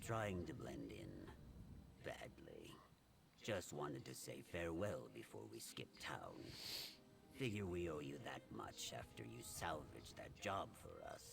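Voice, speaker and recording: A man puts on a character voice with a very deep, low pitch and very wide pitch swings. He keeps a moderate pace with long, frequent pauses, over clear background noise. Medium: video game. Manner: dry, sardonic.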